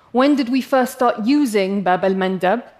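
In an English accent, a woman speaks with an animated tone and a fairly high pitch. Her intonation is lively. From England. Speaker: paleoanthropologist. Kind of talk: talk to a live audience.

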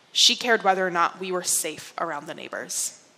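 A woman talks with an American accent. Noticeable background noise sits behind her. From upstate New York. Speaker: speaker. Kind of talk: public talk.

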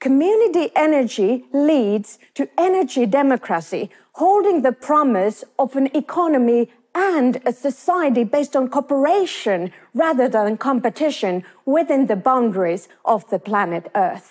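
A woman's high voice with a Finnish accent, very wide pitch swings, and a dry, close sound with no echo. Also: moderate pace, very even loudness. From Finland. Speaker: business professor. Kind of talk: talk to an audience.

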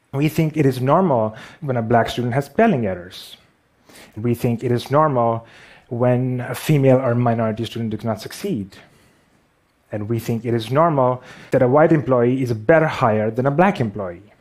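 A man of medium pitch speaks with a Pakistani accent at a moderate pace, using ordinary pitch variation. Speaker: visual artist and animator. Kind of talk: talk on stage. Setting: stage with audience.

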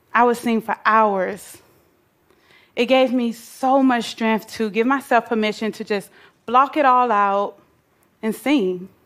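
At a fairly slow pace with long, frequent pauses, a woman with an American accent speaks at a fairly high pitch, her intonation fairly even. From US South, Atlanta, Georgia. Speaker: nonprofit founder. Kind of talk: prepared talk.

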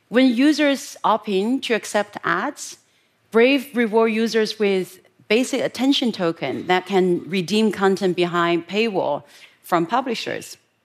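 At a fairly slow pace, a woman with a Chinese accent speaks in a fairly high pitch with lively intonation. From rural China. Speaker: public speaker. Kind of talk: talk to an audience.

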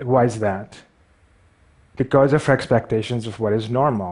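A man with a Pakistani accent, medium pitch and moderate pace, against a quiet background. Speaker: visual artist and animator. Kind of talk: stage talk. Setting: stage with audience. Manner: halting.

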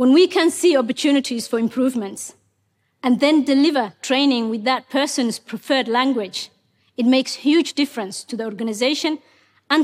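The recording is very clean, with a silent background. A woman with a high pitch talks at a moderate pace with ordinary pitch variation. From Somalia. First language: Somali. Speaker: tech executive. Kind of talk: prepared talk.

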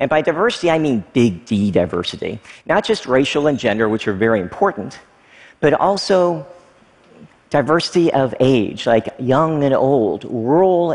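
Using an unremarkable speaking voice, a man with an American accent speaks at a moderate pace with lively intonation. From US South, small-town Kentucky. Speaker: technology entrepreneur. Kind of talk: talk to an audience.

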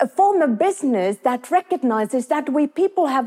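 A woman with a Finnish accent and very wide pitch swings, in a dry, close sound with no echo. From Finland. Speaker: business professor. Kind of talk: talk to an audience.

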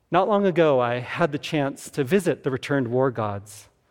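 A man with an American accent and an unremarkable speaking voice, at a fairly high pitch and moderate pace with ordinary pitch variation, on a very clean recording with a silent background. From US Southwest, Tucson, Arizona. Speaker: archaeologist and museum curator. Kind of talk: public talk. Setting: stage with audience.

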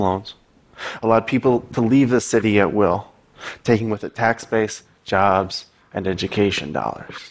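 A fairly low-pitched man's voice at a moderate pace, with an American accent. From Michigan, US. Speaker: journalist and playwright. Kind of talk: talk to an audience.

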